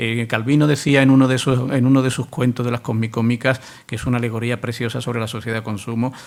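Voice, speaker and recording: A man talks at a very fast pace in a medium pitch. His pitch varies in an ordinary way. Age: middle-aged. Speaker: university professor, literary specialist. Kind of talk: public talk Q&A answer.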